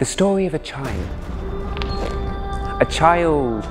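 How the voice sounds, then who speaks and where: Over music in the background, a man speaks at a very slow pace with lively intonation and a passionate, dramatic tone. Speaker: storyteller. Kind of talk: spoken-word story performance.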